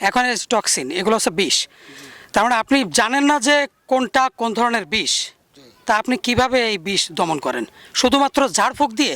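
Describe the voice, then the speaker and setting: A man's extremely high, raised and projected voice, bright and sharp, in a dry, close sound with no echo. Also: ordinary pitch variation. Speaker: snake rescuer and awareness campaigner. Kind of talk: field interview and debate. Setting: outdoors.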